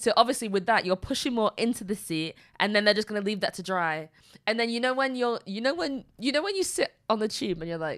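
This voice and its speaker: With a northern English accent, a woman speaks at a fairly quick pace and a fairly high pitch. Her pitch swings very widely on a very clean recording with a silent background. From Manchester, northern England. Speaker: podcast co-host. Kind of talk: casual chat.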